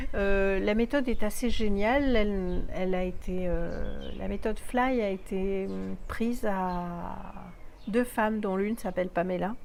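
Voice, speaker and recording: Fairly even intonation carries this very slow speech through audible room echo. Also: woman, medium pitch for a woman. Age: 60s. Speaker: vlogger. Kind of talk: video diary review. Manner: halting, many fillers.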